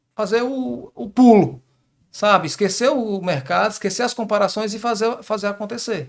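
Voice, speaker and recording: A high-pitched man with a strong Ceará accent in a very clean recording with a silent background. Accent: fairly strong northeastern Brazilian (Ceará). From Northeast Brazil, Crato, southern Ceará. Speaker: business partner in construction equipment rental. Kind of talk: interview conversation. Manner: repetitive stammering starts.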